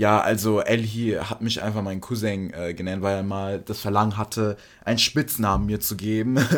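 An unremarkable speaking voice from a man, fairly low in pitch with fairly even intonation and a moderate pace, in a very clean recording with a silent background. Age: young. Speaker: podcast co-host. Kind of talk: casual chat.

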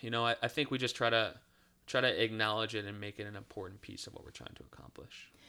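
Rushing at a very fast pace, a man talks in a bright, sharp tone with vocal fry and fairly even intonation. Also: medium pitch for a man. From Cleveland, Ohio. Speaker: college professor, former sports marketer. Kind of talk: interview.

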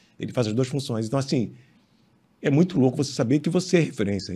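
With lively intonation, a man talks in a dark, mellow tone that is somewhat breathy. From Rio de Janeiro, Brazil. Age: 50s. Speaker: sports photographer. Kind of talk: interview. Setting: studio.

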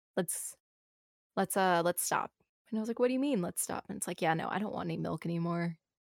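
A soft-spoken woman talks at a very fast pace with ordinary pitch variation. The sound is dry and close, with no echo. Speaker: Twitch streamer. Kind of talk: casual interview conversation.

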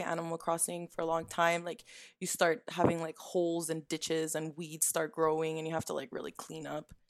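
In a Canadian accent, a woman talks at a fairly quick pace. Her pitch is fairly low. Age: 20s. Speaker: gaming podcast panelist. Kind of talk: casual chat. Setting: video call.

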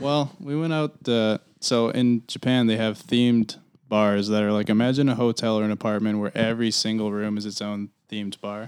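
An ordinary speaking voice runs at a moderate pace with fairly even intonation and hardly any pauses, in a very clean recording with a silent background. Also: man, medium pitch for a man. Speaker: guest. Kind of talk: casual chat. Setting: studio.

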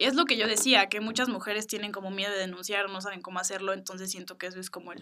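Her tone bright and sharp, a woman speaks very fast at medium pitch with fairly even intonation. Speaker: podcast host. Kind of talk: casual chat.

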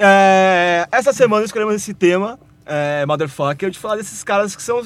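A man's high-pitched voice with ordinary pitch variation and big swings in loudness. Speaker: podcast host. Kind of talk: casual chat. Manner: animated.

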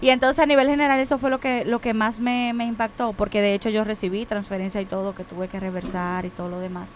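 A woman talks at a very fast pace with hardly any pauses, her fairly high pitch showing ordinary variation. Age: 20s. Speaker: international shipping professional. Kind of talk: casual chat.

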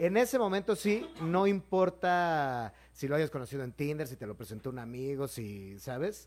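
A man's fairly high voice at a moderate pace, animated, with very wide pitch swings, on a very clean recording with a silent background. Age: 30s. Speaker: comedian. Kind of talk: casual chat. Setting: live stream.

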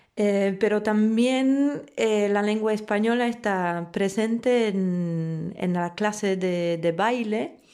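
Speaking very slowly with hardly any pauses, a woman with a Polish accent has a dark, mellow tone at medium pitch, very even loudness and ordinary pitch variation. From Poland, Warsaw. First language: Polish (speaking Spanish). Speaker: flamenco dancer and teacher. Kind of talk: interview. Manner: halting, with repetitions.

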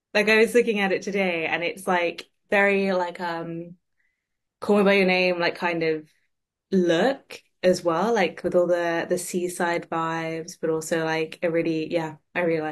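The pitch is fairly low for this woman. She talks at a moderate pace. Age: 20s. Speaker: podcast host. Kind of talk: interview. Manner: animated.

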